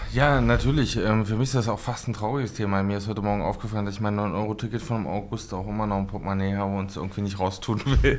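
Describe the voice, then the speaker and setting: A fairly low-pitched male voice at a very fast pace, hardly any pauses, fairly even intonation and audible room echo. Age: 30s. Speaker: member of parliament. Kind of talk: casual chat.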